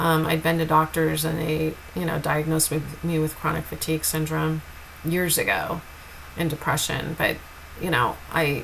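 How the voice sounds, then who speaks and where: Noticeable background noise behind a woman's moderately paced speech. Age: 50s. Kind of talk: personal testimony. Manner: slurred speech at times.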